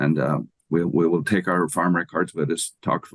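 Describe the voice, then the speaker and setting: In an Irish accent, a man with a very deep, low voice talks at a moderate pace, the sound dry and close with no echo. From Ireland. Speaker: agricultural economics professor. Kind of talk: interview.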